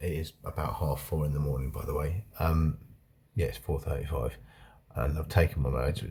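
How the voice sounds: Putting on a character voice, a man speaks raspy and at a very deep, low pitch, with fairly even intonation and a moderate pace.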